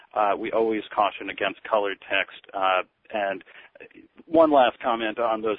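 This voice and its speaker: A plain, everyday voice, a man's, at a moderate pace with fairly even intonation. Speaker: eye tracking researcher. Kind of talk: webinar discussion. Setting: phone call.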